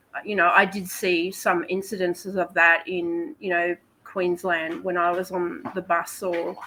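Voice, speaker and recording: This woman has an Australian accent and a fairly low pitch. She talks at a fairly slow pace with fairly even intonation. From Australia, Melbourne. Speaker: podcast guest. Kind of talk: casual chat.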